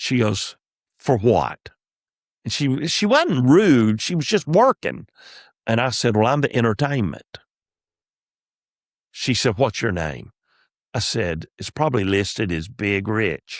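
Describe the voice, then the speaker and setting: In a Southern US accent, a man with a medium-pitched voice and vocal fry speaks at a fairly slow pace with long, frequent pauses and lively intonation. The sound is dry and close with no echo, on a very clean recording with a silent background. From US South. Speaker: comedian. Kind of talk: podcast storytelling. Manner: preacher-like cadence; animated.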